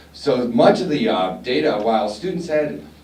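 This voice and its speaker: A man's voice swings very widely in pitch. Room echo is audible, and background noise is noticeable. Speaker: college staff presenter. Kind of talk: conference presentation. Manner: soft-spoken.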